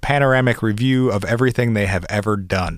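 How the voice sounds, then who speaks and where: A man with an American accent talks in a plain, everyday voice. He moves at a fairly quick pace with fairly even intonation. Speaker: podcast co-host. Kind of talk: casual chat.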